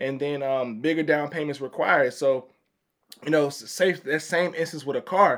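In a very clean recording with a silent background, a man with an ordinary speaking voice, a fairly high pitch, and an American accent talks in fairly even intonation. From Chicago, Illinois. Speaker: credit advisor. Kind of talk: casual chat. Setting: studio.

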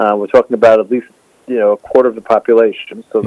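This man's voice sits at medium pitch. He speaks very fast. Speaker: historian and website publisher. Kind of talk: interview on current affairs. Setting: remote call.

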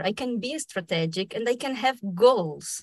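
A woman speaks in a Spanish accent at a very slow pace. Her intonation is lively. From Argentina, raised in Brazil. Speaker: dubbing actor and director, fellowship recipient. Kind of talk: casual interview conversation.

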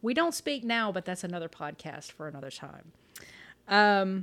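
With an American accent, a woman speaks at a moderate pace, her pitch swinging very widely. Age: 40s. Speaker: podcast host. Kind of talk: solo personal monologue. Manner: hesitant, many fillers.

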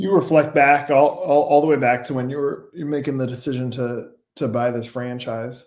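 A man speaks at a medium pitch and a moderate pace. He has a plain, everyday voice. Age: 40s. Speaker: podcast host. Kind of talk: interview.

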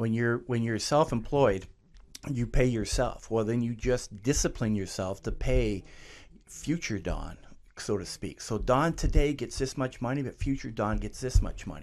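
A man with a Canadian accent has an ordinary speaking voice at medium pitch. He speaks at a moderate pace with ordinary pitch variation. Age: 60s. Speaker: clothing store owner. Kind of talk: interview.

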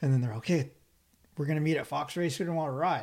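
A man's somewhat breathy, dark, mellow voice with ordinary pitch variation, on a very clean recording with a silent background. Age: 50s. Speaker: motocross podcast host. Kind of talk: casual interview chat.

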